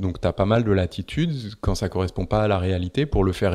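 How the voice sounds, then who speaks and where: The pace is fairly quick with ordinary pitch variation. The recording is very clean with a silent background. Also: man. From Paris, France. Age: 40s. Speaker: sailor and naval architect. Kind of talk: interview. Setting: at his home by the sea. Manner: calm, not loud.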